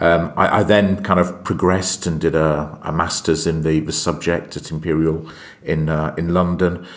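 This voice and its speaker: A man talks at a moderate pace, his very deep, low voice held to a monotone, flat intonation. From UK. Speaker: aerospace strategy executive. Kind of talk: podcast interview. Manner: hesitant, many fillers.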